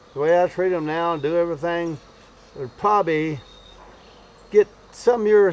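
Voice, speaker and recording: With noticeable background noise behind him, a man with a high pitch speaks at a moderate pace, leaving long, frequent pauses. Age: 70s. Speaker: beekeeper. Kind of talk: tutorial. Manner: halting; casual.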